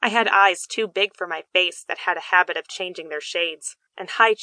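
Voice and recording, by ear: Ordinary pitch variation while reading aloud in a natural voice, quiet background behind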